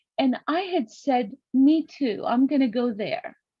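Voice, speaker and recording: Very slowly and with a Greek accent, a woman speaks at a high pitch in a dark, mellow tone, her pitch swinging very widely in a dry, close sound with no echo. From Greece. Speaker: summit guest speaker. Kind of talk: interview.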